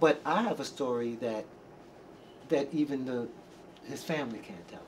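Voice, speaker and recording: At a moderate pace, a man with an unremarkable speaking voice talks at a fairly high pitch, using lively intonation and big swings in loudness. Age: 60s. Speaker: R&B singer and backup vocalist. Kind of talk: interview.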